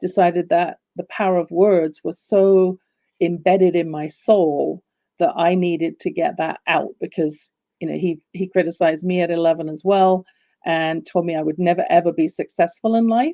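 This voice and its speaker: A woman with an English accent speaks at a moderate pace. Her pitch is fairly low and her intonation fairly even. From England, London. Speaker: business coach. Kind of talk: casual interview chat.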